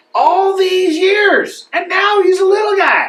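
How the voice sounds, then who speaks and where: Doing a put-on character voice, a man squeaks out his words at an extremely high pitch and a fairly slow pace. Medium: comedy sketch. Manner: drawling, good-natured.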